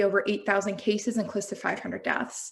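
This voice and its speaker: Recorded very cleanly with a silent background, a woman with an American accent speaks at a very fast pace. Her voice has a medium pitch and vocal fry. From United States. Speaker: health systems researcher presenting at a symposium. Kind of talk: conference presentation.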